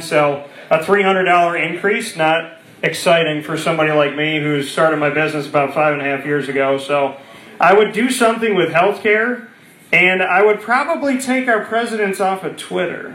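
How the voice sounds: A man talks at a moderate pace with fairly high pitch, ordinary pitch variation and a fairly bright tone. Room echo is audible.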